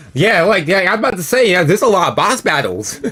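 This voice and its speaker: Noticeable background noise runs under a man's voice. His pitch swings very widely. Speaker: gaming streamer. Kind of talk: live gameplay commentary. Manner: casual, animated.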